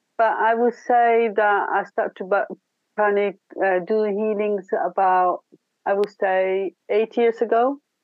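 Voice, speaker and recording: Very slow pace, with very even loudness and ordinary pitch variation. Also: woman, fairly high pitch for a woman. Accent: Italian. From Italy. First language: Italian. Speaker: spiritual healer. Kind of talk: interview.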